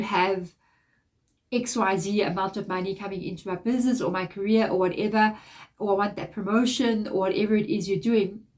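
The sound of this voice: A woman's nasal voice, slightly mellow in tone, at a fairly quick pace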